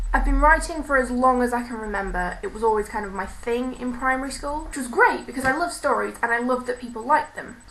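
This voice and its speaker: A woman speaks very fast in a high-pitched voice with a British accent. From Britain. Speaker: university student, aspiring author. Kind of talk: casual talk to camera.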